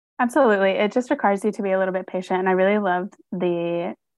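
With an American accent and a plain, everyday voice, a woman speaks fairly quickly at a medium pitch, her intonation fairly even. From North Carolina, US South. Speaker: social worker and therapist. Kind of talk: casual interview.

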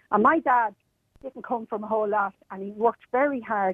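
A woman speaks with an Irish accent at a fairly quick pace. Her pitch is medium with ordinary variation. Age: 60s. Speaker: cabin crew member, radio caller. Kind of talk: call-in radio discussion. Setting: phone call. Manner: animated.

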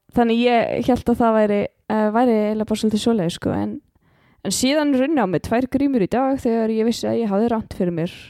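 A woman's fairly high voice, very fast, with a dark, mellow tone, on a very clean recording with a silent background. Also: ordinary pitch variation. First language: Icelandic. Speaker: podcast co-host. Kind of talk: casual chat.

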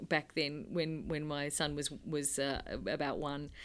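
The pace of this woman's speech is moderate. She talks in an Australian accent. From Sydney, Australia (North Shore). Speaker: cartoonist. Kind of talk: interview conversation. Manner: halting.

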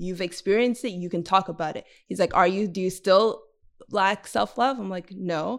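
A woman speaks at a moderate pace with a Montreal accent. The recording is very clean, with a silent background. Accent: Canadian English (Montreal). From Montreal West Island, Quebec. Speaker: community organizer and podcaster. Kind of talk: interview.

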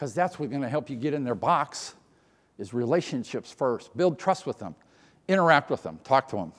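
Over a silent background on a very clean recording, a man with a fairly high pitch and vocal fry speaks at a fairly quick pace in an animated tone with lively intonation. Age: 60s. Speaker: conference keynote speaker. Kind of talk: keynote speech. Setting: stage with audience.

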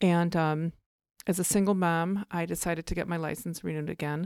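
A woman speaks at a fairly low pitch with fairly even intonation, captured dry and close with no echo on a very clean recording with a silent background. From Chicago area. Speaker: real estate broker. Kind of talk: interview.

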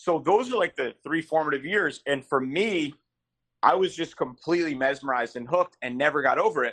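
Delivered at a fairly quick pace with lively intonation, an unremarkable speaking voice comes through with an American accent. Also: man, fairly high pitch for a man. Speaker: sports fan and social media personality. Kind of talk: casual chat.

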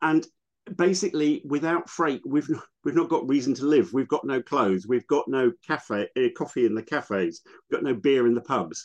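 A man's fairly high voice with vocal fry, at a moderate pace with ordinary pitch variation, in a dry, close sound with no echo. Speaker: logistics policy expert. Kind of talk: casual interview. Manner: hesitant, filler-heavy.

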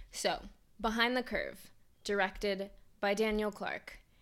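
Speaking at a moderate pace, a woman has a medium pitch and an unremarkable speaking voice. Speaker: podcast co-host. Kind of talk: casual chat.

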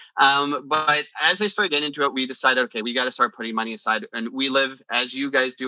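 A man with a western Canadian accent talks at a fairly quick pace. His pitch is medium, with ordinary variation. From western Canada (British Columbia). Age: 40s. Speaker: business executive. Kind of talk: interview.

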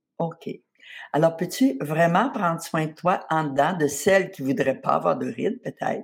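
At a fairly slow pace, a somewhat breathy voice moves through lively intonation on a very clean recording with a silent background. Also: woman. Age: 70s. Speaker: spa founder and author. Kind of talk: interview.

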